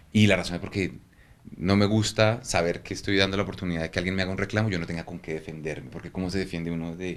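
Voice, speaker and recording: A man talks in a very deep, low voice with fairly even intonation. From Colombia, Bogotá. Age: 40s. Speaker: photographer. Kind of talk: interview. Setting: at his home.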